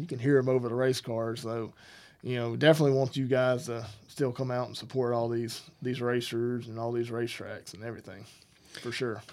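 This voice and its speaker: In a Southern US accent, a man talks at a fairly quick pace with monotone, flat intonation, on a very clean recording with a silent background. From Alabama. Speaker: podcast co-host. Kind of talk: casual chat. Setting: studio.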